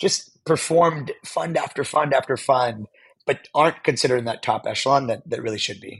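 Speaking with a General American accent, a man uses a medium pitch, ordinary pitch variation and a somewhat breathy voice. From US, Pittsburgh, Pennsylvania. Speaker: venture capital investor. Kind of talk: interview conversation.

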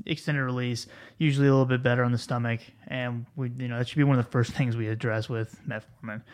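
A man's medium-pitched voice, a normal speaking voice, with fairly even intonation. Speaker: pharmacist podcast host. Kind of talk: casual interview and clinical case discussion. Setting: studio.

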